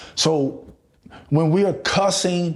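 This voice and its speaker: An ordinary speaking voice from a man with an American accent, fairly high in pitch, with fairly even intonation. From Chicago, US. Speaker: relationship and recovery coach. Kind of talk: motivational podcast monologue.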